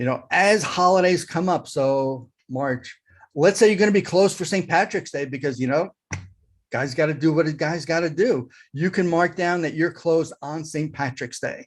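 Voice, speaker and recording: A man speaks at a moderate pace with ordinary pitch variation and a fairly high pitch against a quiet background. He has a normal speaking voice. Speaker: digital marketing consultant. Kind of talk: tutorial with screen share.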